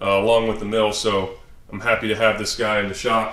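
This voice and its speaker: This man talks at a moderate tempo, and the room echo is clearly audible. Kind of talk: shop tour commentary. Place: garage. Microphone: phone near.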